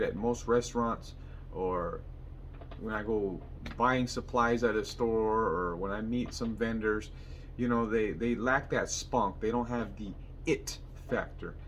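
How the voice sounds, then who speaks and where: At a fairly slow pace, the speech carries audible room echo. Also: man. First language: Spanish. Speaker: mechanic and vlogger. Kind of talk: motivational vlog monologue.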